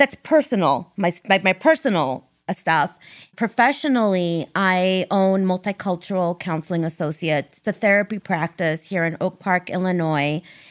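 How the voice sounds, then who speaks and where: With an American accent and a plain, everyday voice, a woman talks at a moderate pace and medium pitch with lively intonation, the sound dry and close with no echo on a very clean recording with a silent background. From Ohio, suburb of Akron. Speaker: therapist. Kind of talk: casual interview chat. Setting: office studio.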